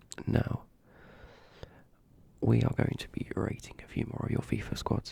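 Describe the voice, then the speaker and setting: Someone whispers in a British accent at a fairly slow pace, with noticeable background noise. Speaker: ASMR youtuber. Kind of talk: ASMR video commentary.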